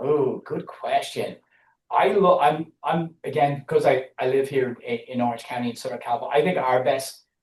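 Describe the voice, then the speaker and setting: A man speaks in an Irish accent at a moderate pace, somewhat breathy. His pitch is fairly high and his intonation lively. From Ireland. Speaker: business analytics consultant. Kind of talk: podcast interview. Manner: halting, many repeated words.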